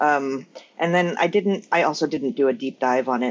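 A woman talks at a fairly quick pace with lively intonation. It is an ordinary speaking voice. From Northern California. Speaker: scholar of Korean culture. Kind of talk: casual chat.

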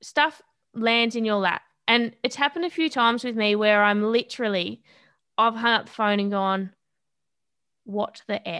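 Over a quiet background, a woman with an Australian accent speaks at a moderate pace with long, frequent pauses, her fairly high voice bright and sharp, with ordinary pitch variation. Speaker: boxer and personal trainer. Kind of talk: interview conversation.

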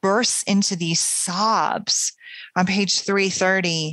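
Someone reads in an unforced reading voice, keeping the intonation fairly even.

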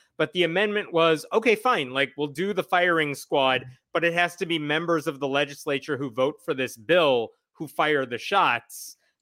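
Heard on a very clean recording with a silent background, a man talks at a moderate pace in a fairly high, bright, sharp voice with ordinary pitch variation. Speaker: atheist blogger guest. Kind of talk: casual discussion.

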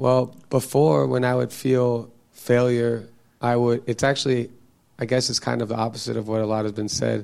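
He has a plain, everyday voice. This man speaks at a medium pitch with fairly even intonation. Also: moderate pace. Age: 30s. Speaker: audience member. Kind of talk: casual conversation. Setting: church.

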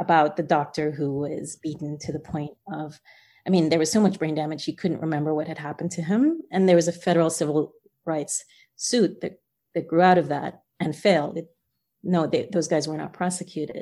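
Someone with a New Jersey accent speaks in a dark, mellow tone, in a very clean recording with a silent background. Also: woman, fairly low pitch for a woman. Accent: New Jersey American. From New Jersey, US (born in Guyana, moved at six). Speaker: author. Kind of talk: interview.

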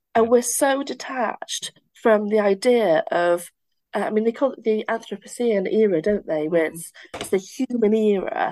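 A woman speaks at a moderate pace with a Welsh accent, her fairly high voice dark and mellow in tone. Her intonation is lively, and the background is quiet. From Wales. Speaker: occupational therapist and university lecturer. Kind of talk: casual conversational interview.

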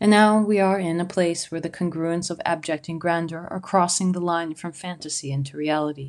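A woman's fairly low voice at a fairly quick clip, with fairly even intonation, hardly any pauses and a quiet background. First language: not English. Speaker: solo podcaster, artist and photographer. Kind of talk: reflective monologue essay.

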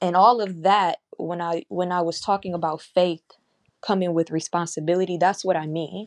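An ordinary speaking voice from a woman, fairly low in pitch with fairly even intonation, in a dry, close sound with no echo. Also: moderate pace. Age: 20s. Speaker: podcaster and spiritual worker. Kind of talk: casual spiritual talk. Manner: conversational with fillers.

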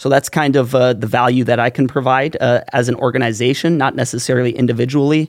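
A man with an American accent speaks very fast and barely pauses. His intonation stays flat and monotone. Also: medium pitch for a man, very even loudness. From North Dakota, US (Valley City). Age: 20s. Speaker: nonprofit executive director. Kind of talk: podcast interview. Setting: studio.

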